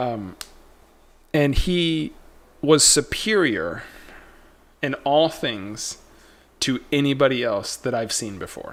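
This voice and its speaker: A man's fairly high-pitched voice with lively intonation, a very slow pace and long, frequent pauses, recorded very cleanly against a silent background. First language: not Spanish; speaks it slowly. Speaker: trading livestream host. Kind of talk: casual livestream chat. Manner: animated, storytelling.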